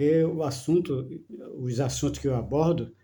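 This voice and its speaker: A man's somewhat breathy voice, dark and mellow in tone, moves at a fairly slow pace with ordinary pitch variation. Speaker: spiritual video talker. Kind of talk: casual monologue on spirituality. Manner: slow, measured; halting, repetitive fillers.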